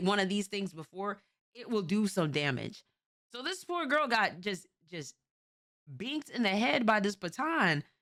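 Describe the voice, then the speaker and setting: A woman speaks at medium pitch with a New York accent, at a moderate pace and in an animated tone. Her pitch swings very widely, and she takes long, frequent pauses. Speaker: streamer reacting to videos. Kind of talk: casual reaction commentary.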